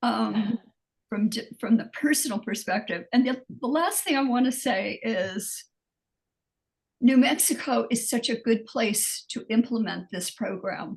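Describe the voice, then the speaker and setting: A woman speaks at a fairly slow pace with vocal fry. Her pitch is fairly high and varies in an ordinary way. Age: 80s+. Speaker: audience member. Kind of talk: webinar Q&A.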